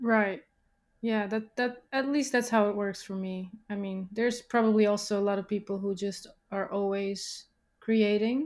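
A woman's voice at medium pitch, fairly even in intonation, on a very clean recording with a silent background. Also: moderate pace. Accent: non-native. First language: not English. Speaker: musician. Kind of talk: casual interview chat. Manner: halting, searches for words.

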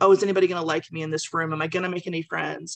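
A woman speaks with an ordinary speaking voice, fairly low in pitch, with ordinary pitch variation. The sound is dry and close, with no echo. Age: 40s. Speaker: book club member. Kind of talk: testimony. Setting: video call.

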